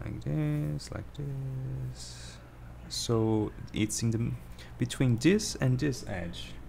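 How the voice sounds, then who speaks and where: Very deep and low, this man's voice carries a dark, mellow tone and a somewhat breathy quality. He speaks at a very slow pace with very wide pitch swings. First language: not English. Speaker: drawing tutorial streamer. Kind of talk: tutorial. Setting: livestream. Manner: halting. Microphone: poor microphone.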